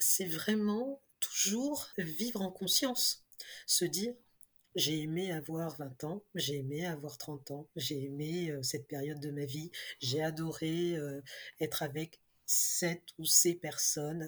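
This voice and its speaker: A woman with a very deep, low pitch speaks at a very slow pace with ordinary pitch variation, on a very clean recording with a silent background. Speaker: decluttering expert and author. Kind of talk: interview conversation. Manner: cheerful.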